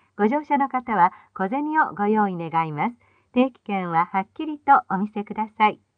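A woman at a medium pitch and moderate pace, lively in intonation, in a dry, close sound with no echo

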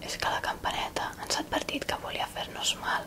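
Noticeable noise fills the background. A woman is whispering at a moderate pace. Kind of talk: fairy tale reading.

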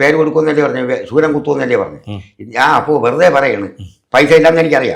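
A man talks in a normal speaking voice. His pitch sits fairly high. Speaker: auto-rickshaw driver and devotee. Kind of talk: testimony.

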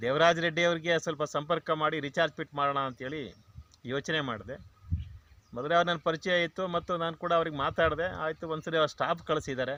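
His tone is bright and sharp, and the man's fairly high pitch moves with fairly even intonation. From Karnataka, Mandya district (K R Pete). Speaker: retired government officer and farmer. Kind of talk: testimonial interview.

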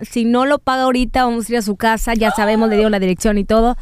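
Fairly high in pitch, a woman talks at a very fast pace with fairly even intonation. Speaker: podcast co-host. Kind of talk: casual chat.

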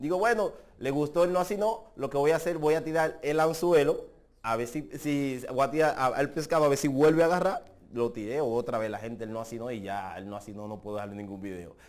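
Fairly quick delivery with very wide pitch swings and big swings in loudness. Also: man, fairly high pitch for a man. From Dominican Republic. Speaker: social media personality; social media creator. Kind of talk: interview. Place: studio. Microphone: lapel.

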